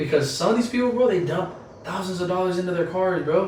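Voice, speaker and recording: A man with an American accent at a fairly quick pace, with noticeable background noise and audible room echo. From Orange County, California. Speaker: car meet organizer and clothing brand owner. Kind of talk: casual chat.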